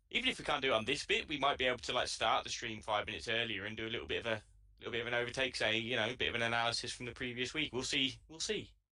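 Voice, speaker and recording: In a British accent, the speaker talks at a very fast pace with a bright, sharp tone and fairly even intonation. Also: man, medium pitch for a man. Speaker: sim racing co-commentator. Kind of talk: live stream commentary chat.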